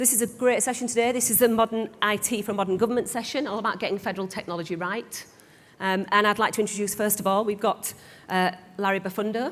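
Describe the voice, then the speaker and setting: Speaking at a very fast pace in a northern English accent, a woman keeps a medium pitch and fairly even intonation. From northern England. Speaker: panel moderator. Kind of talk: panel moderation. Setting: conference stage with audience.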